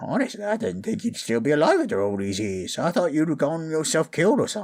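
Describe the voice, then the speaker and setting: A put-on character voice at a middle pitch races along very fast with very wide pitch swings. The recording is very clean, with a silent background. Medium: audio drama. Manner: hesitant, stammering.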